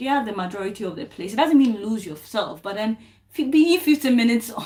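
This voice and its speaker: A woman's somewhat breathy voice at a fairly high pitch. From Ghana. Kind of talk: talk to camera. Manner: halting.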